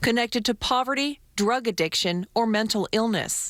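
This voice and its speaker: This woman has an unremarkable speaking voice. She keeps a moderate pace, and her pitch varies in an ordinary way. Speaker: TV news reporter. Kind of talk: TV news report voiceover.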